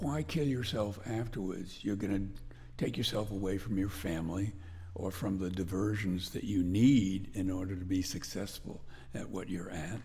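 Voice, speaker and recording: A dark, mellow, somewhat breathy tone amid audible room echo. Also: man, very deep, low pitch for a man, ordinary pitch variation, moderate pace. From northwestern Connecticut, US. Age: 80s+. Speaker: blacksmith. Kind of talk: interview.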